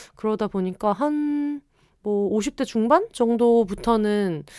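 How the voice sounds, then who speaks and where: A woman with a fairly high pitch speaks in a dark, mellow tone with lively intonation. The recording is very clean, with a silent background. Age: 30s. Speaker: podcast host and writer. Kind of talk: casual solo podcast monologue. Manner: animated, chatty.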